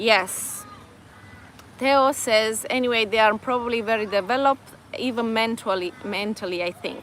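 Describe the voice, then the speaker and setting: A woman with a Romanian accent speaks at a moderate pace and a fairly high pitch, her intonation fairly even. Noticeable background noise can be heard. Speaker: vlogger. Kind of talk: live stream chat. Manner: halting.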